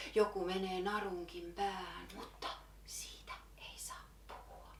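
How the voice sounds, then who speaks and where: The pace is very slow. Audible room echo surrounds the voice. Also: woman. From Finland. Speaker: poet. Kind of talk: slam poetry performance.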